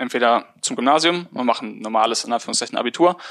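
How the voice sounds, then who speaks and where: The speech rushes along at a very fast pace. It has a bright, sharp tone and ordinary pitch variation. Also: man. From Remscheid, Bergisches Land, Germany. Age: 20s. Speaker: mechanical engineer turned podcaster. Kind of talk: interview.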